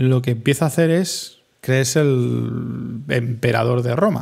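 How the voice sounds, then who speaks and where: A man's somewhat breathy voice sits at a medium pitch with ordinary variation. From Spain, Madrid. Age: 30s. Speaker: podcaster and streamer. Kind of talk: solo reflective monologue.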